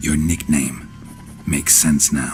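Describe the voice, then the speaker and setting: Clear music plays in the background while a man performs a put-on character voice. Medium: video game. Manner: terse, deadpan.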